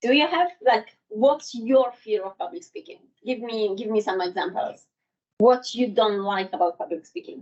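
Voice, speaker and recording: A woman with a non-native accent speaks at a moderate pace, with very wide pitch swings and big swings in loudness. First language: not English. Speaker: public speaking trainer. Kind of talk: workshop presentation. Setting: in-person workshop with live audience. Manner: halting.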